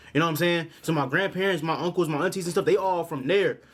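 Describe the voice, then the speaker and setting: A man speaks in an animated tone. His pitch is high. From Los Angeles, California. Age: 20s. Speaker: YouTube reactor. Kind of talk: reaction video commentary.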